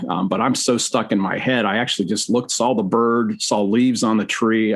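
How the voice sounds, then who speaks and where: Fairly even in intonation, a man speaks at a medium pitch with an American accent. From US Midwest. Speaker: seminary professor. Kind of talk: podcast interview. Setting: video call. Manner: fast.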